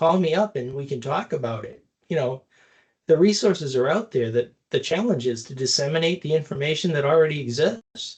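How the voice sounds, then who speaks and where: A man with a fairly high voice speaks somewhat breathily, his intonation lively. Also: fairly quick pace. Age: 60s. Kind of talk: podcast interview. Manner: repetitive stammering restarts.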